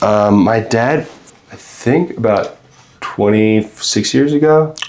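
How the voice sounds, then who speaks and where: The speaker talks at a very slow pace with lively intonation in an American accent. Background noise is noticeable. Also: man, medium pitch for a man. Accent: Long Island accent hidden, barely audible. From Long Island, New York (Freeport). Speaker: charity volunteer, painting guest. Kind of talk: casual podcast chat. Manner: hesitant, many fillers.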